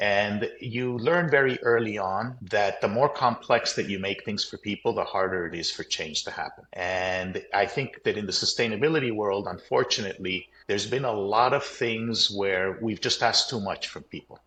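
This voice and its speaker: A man talks at a moderate pace with hardly any pauses, in a bright, sharp tone. His medium pitch varies in an ordinary way against a quiet background. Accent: American. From Colombia. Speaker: company CEO. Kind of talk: interview.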